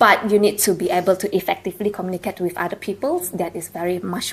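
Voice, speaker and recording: A woman speaks at a medium pitch. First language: not English; English is her third language. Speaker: university alumna panelist. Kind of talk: panel discussion. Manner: halting, many fillers.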